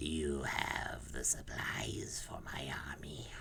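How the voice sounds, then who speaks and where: A man performs a put-on character voice at a very slow pace. Background noise is clearly audible. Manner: commanding.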